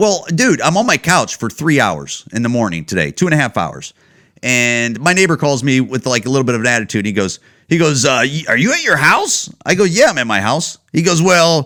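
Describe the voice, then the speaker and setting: An animated man with an American accent speaks at a medium pitch, his voice swinging very widely in pitch. His tone is bright and sharp, with vocal fry. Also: fairly quick pace. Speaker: comedian podcast host. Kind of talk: casual monologue.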